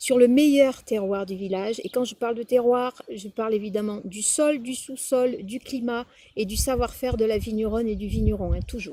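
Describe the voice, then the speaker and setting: A woman with a slight Provençal accent speaks at a moderate pace in a somewhat breathy voice, dark and mellow in tone. Her loudness swings widely, and the recording is very clean with a silent background. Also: fairly high pitch for a woman. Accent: southern French (Provençal), slight. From Provence, Drôme provençale, France. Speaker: wine taster. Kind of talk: wine tasting commentary. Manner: hesitant, with fillers.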